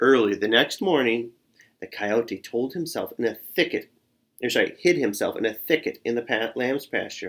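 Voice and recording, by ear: The background is quiet. Text is read aloud in a natural voice with lively intonation.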